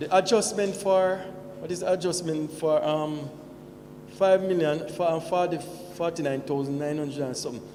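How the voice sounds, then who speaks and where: Audible room echo and noticeable background noise around fairly even intonation. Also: man, high pitch for a man, moderate pace. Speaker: shareholder at annual meeting. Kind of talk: question at meeting.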